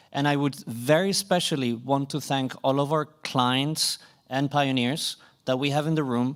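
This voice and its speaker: On a very clean recording with a silent background, a man with a Swedish accent speaks at a medium pitch with ordinary pitch variation. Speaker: conference moderator. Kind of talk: closing remarks at a conference.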